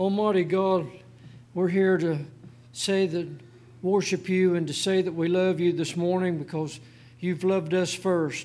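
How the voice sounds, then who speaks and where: This man has a high pitch and a monotone, flat intonation. He speaks at a fairly slow pace with long, frequent pauses. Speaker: prayer leader. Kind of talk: prayer. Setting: church.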